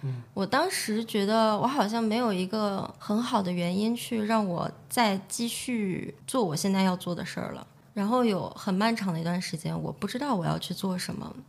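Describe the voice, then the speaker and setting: A somewhat breathy woman's voice at medium pitch, moderate pace with hardly any pauses, and ordinary pitch variation. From China, Shaanxi (Xi'an). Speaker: entrepreneur, nail salon owner. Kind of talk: interview conversation.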